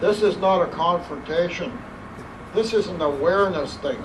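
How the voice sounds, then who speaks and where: A high-pitched man speaks at a moderate pace. There is noticeable background noise and audible room echo. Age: 60s. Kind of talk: public speech.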